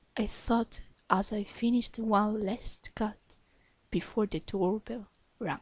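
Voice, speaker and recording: A woman speaks at a very slow pace with a non-native accent. Her fairly high voice is somewhat breathy and monotone, with flat intonation. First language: not English. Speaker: ASMR fanfiction reader. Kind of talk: reading aloud; casual chat.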